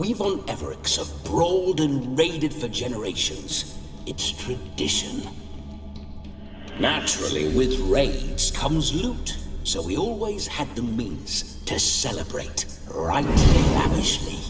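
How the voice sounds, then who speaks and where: Loud background noise and a clear echo surround this recording. A man puts on a character voice and speaks at a fairly slow pace. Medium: video game. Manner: bawdy, swaggering.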